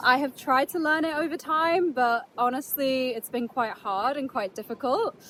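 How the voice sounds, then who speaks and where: Noticeable background noise accompanies a woman with a high pitch and a British accent. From England (Yorkshire), from age 8; early childhood in Netherlands. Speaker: travel vlogger. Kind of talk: casual vlog talk to camera. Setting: outdoors on a beach. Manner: casual, chatty.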